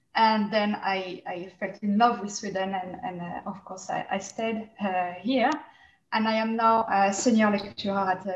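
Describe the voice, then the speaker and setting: In a strong French accent, a woman speaks at a moderate pace and medium pitch, somewhat breathy, with monotone, flat intonation. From France. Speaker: researcher and senior lecturer. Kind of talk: online panel discussion. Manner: hesitant, many fillers.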